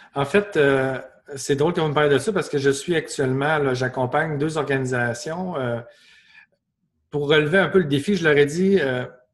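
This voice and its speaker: Speaking with a strong Quebec accent, a man keeps a moderate pace and a fairly high pitch. His pitch varies in an ordinary way, and long, frequent pauses recur. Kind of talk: webinar Q&A.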